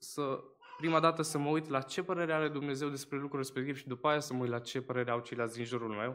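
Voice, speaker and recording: The man's intonation is fairly even as he talks. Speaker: baptism candidate; candidate. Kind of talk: testimony. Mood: earnest, slightly nervous. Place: church. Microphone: podium.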